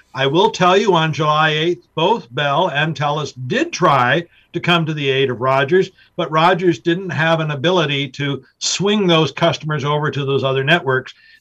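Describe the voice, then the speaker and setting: A man talks at a moderate pace in a fairly high pitch with ordinary pitch variation. His is an ordinary speaking voice. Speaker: business professor. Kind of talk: radio interview.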